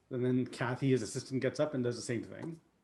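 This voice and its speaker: With a somewhat breathy quality, a man talks at a moderate speed. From Canada. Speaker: coach and speaker. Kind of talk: talk to online group session.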